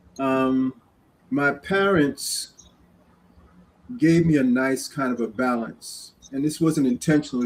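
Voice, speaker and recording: A man with a New York accent talks at a fairly slow pace with ordinary pitch variation and long, frequent pauses. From New York City, Queens. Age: 60s. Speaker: community guest speaker. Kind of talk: interview storytelling.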